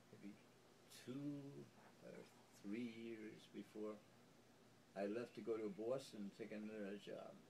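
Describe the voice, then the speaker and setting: Pausing long and often, a man speaks with a dark, mellow tone at a fairly low pitch. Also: fairly even intonation, fairly slow pace. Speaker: elderly relative recalling family history. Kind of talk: family oral history interview. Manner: halting; hesitant.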